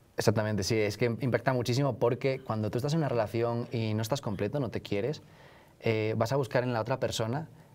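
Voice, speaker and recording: A man at a very fast pace, with a Spanish accent and fairly even intonation. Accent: Peninsular Spanish. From northern Spain. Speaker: author; interviewee. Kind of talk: interview. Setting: live event at a university. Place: studio. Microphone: lapel.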